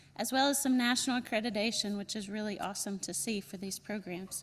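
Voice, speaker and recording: Lively intonation marks this woman's speech. She talks with a North Carolina accent. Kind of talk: welcome speech at conference.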